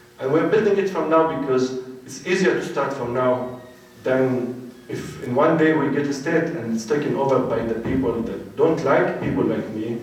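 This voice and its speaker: Noticeable background noise and audible room echo surround a man speaking at a moderate pace. His pitch is fairly high, with ordinary variation. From West Bank, Palestine (Dura, near Hebron). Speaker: peace activist. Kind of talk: panel talk.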